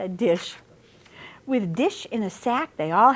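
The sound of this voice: Delivered in an unforced reading voice, the speech has lively intonation.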